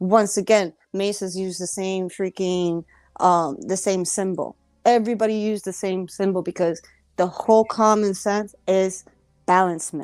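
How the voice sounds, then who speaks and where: Over music in the background, a woman speaks at a moderate pace in a medium pitch with fairly even intonation. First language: Spanish. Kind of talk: casual chat. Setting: live stream.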